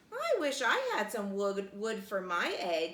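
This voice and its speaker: A woman's put-on character voice at medium pitch and a fairly slow pace. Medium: read story.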